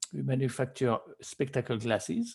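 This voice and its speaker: Lively intonation marks this man's medium-pitched, somewhat breathy voice. His tone is dark and mellow. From France. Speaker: guest speaker, business executive. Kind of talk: guest lecture. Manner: halting.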